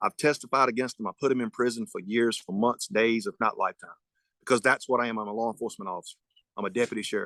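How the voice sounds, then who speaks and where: A man speaks at a very fast pace, with medium pitch and ordinary pitch variation. His tone is bright and sharp, and the sound is dry and close with no echo. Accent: Southern US. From North Carolina, Person County. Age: 40s. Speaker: sheriff candidate, deputy sheriff. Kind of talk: candidate forum closing statement. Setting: virtual forum. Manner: halting.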